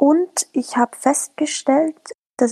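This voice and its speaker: The sound of this woman's speech is dry and close, with no echo. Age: 30s. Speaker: local politician and social media manager. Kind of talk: casual chat.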